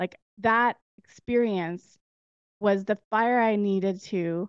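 A woman with a Canadian accent speaks in a plain, everyday voice. Her pitch is medium and her intonation fairly even. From Alberta, Canada. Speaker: entrepreneur. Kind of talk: casual chat.

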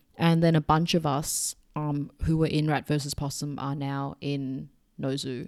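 In a very clean recording with a silent background, a woman speaks in a very deep, low pitch, her dark, mellow tone held in flat, monotone intonation. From Hong Kong. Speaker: musician. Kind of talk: casual chat. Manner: chatty.

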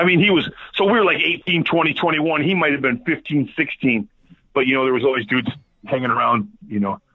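American-accented male speech with very wide pitch swings. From Michigan, US. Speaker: musician, band front man. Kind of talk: casual chat.

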